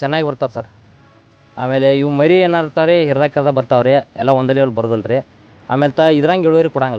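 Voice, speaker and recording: A fairly high-pitched man's voice with ordinary pitch variation over music in the background. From India, northern Karnataka (Belagavi district). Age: young. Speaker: farmer. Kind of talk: interview.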